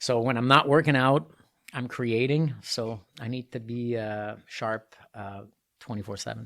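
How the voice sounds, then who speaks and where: A man in a Quebec accent, medium-pitched, with fairly even intonation, big swings in loudness and a fairly slow pace, over a silent background in a very clean recording. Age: 50s. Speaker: triathlete and artist. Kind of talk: casual interview. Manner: calmer, more composed than usual.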